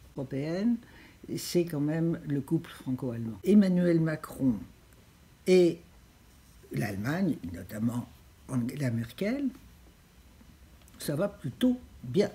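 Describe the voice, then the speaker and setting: A woman with a very deep, low pitch and a dark, mellow tone, somewhat breathy, at a very slow pace with long, frequent pauses and very wide pitch swings. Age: 80s+. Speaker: president of a European civic association, former minister. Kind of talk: interview answer.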